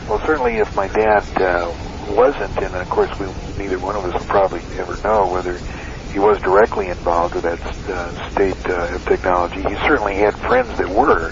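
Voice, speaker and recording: Noticeable background noise sits behind a man who speaks at a fairly quick pace and a fairly low pitch, with ordinary pitch variation. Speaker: interviewee, son of military officer. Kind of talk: interview. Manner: halting, many fillers.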